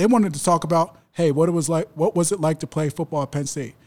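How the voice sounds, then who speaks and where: Speaking with an American accent, a man has a high pitch. His pitch variation is ordinary. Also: very clean recording, silent background. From US Northeast (South Jersey). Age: 30s. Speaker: former college football player. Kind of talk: interview. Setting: locker room. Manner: halting, frequent repetitions.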